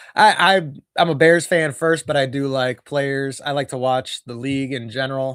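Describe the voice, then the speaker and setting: A man with an American accent, on a very clean recording with a silent background. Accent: Wisconsin accent (remarked by viewer). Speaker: sports streamer doing fan commentary. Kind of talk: live play-by-play commentary; casual chat with viewers. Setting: live stream.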